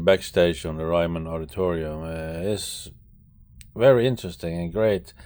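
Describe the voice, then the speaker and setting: A man speaks with a very deep, low pitch. His pitch varies in an ordinary way. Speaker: travel vlogger. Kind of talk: vlog narration. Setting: VIP lounge of a concert hall. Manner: hesitant, many fillers; quiet indoor voice.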